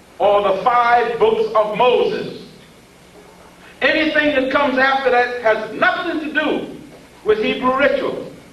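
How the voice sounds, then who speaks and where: Over noticeable background noise and audible room echo, a man with an extremely high pitch talks at a fairly slow pace with ordinary pitch variation. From US South, southeast Georgia. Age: 70s. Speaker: professor. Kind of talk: lecture. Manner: animated.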